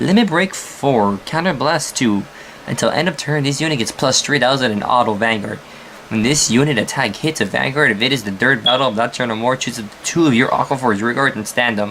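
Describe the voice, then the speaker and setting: A man at a medium pitch and fairly quick pace, ordinary pitch variation, with noticeable background noise behind him. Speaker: card game YouTuber. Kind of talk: deck profile tutorial. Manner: halting, stutters; casual, animated.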